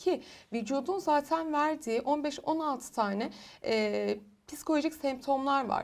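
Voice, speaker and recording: A woman speaks at a very slow pace with a high-pitched voice. The background is quiet. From Turkey, Muğla; Turkey. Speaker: clinical psychologist; guest. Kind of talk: interview on TV. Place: studio. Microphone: lapel.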